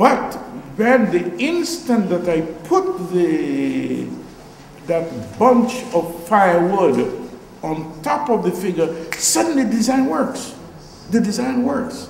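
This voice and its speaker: Speaking very slowly with long, frequent pauses, a man uses a high voice with very wide pitch swings, heard with audible room echo and light background noise. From Guyana. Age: 70s. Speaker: visual artist. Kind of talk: artist talk before an audience. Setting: art gallery with audience. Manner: playful, self-deprecating. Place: hall.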